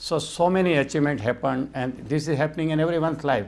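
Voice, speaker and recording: A man talks in a Gujarati accent. His pace is very fast, with ordinary pitch variation. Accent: Indian (Gujarati) English. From India, Gujarat (Rajkot). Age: 60s. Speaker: mind-power trainer and physician. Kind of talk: interview.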